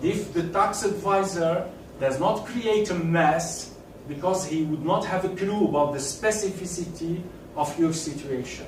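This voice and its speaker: A man's high-pitched voice with a non-native accent and ordinary pitch variation, at a fairly slow pace, with audible room echo and noticeable background noise. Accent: non-native, self-described as awful. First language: French. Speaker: tax consultant. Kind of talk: lecture. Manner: halting.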